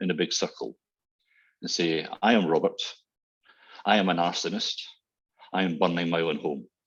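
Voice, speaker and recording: A man with a Glasgow accent speaks at a moderate pace. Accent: Scottish (Glasgow). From Scotland, Glasgow. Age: 60s. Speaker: transport consultant. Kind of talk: webinar presentation. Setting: online webinar.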